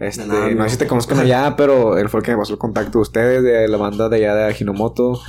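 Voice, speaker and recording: A man rushes along at a very fast pace, his intonation fairly even, with noticeable background noise around him. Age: 30s. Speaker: podcast host. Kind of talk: casual chat. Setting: studio.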